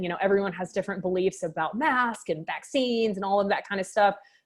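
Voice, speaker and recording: A woman talks at a fairly quick pace and medium pitch with ordinary pitch variation. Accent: slight Texas. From Texas, Waco. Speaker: med spa owner and doctor. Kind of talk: interview.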